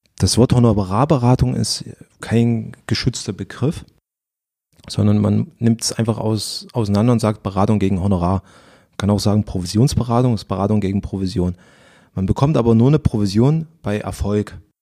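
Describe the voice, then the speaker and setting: Over a very clean recording with a silent background, a man with a dark, mellow tone speaks at a moderate pace and fairly low pitch, with ordinary pitch variation. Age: 30s. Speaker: financial advisor. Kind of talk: interview.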